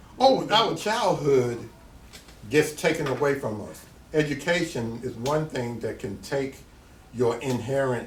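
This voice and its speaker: In a Tennessee accent, a man talks at a fairly slow pace and medium pitch with ordinary pitch variation, audible room echo around him. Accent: Southern US (Tennessee). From US South. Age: 60s. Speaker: artist. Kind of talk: interview.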